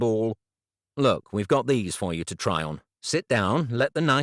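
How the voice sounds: Against quiet surroundings comes a natural reading voice.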